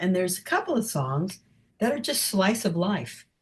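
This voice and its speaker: Her pitch sits at a medium level. This woman's voice carries some breathiness. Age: 70s. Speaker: singer. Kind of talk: interview.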